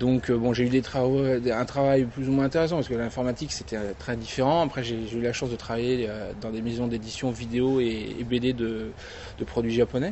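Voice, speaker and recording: A man's moderate-paced speech with fairly even intonation over noticeable background noise. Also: medium pitch for a man. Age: 30s. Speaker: convention founder. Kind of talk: interview. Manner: hesitant, many fillers.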